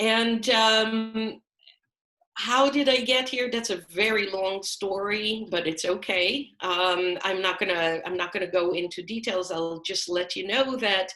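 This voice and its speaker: Fairly slow speech in an Israeli accent, with ordinary pitch variation. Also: woman, medium pitch for a woman. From Israel (Haifa). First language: Hebrew. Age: 50s. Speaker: rabbi and cantor. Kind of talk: interview.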